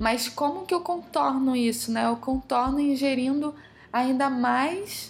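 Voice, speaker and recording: A woman speaks at a very slow pace. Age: 30s. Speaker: holistic decor specialist. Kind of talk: casual interview.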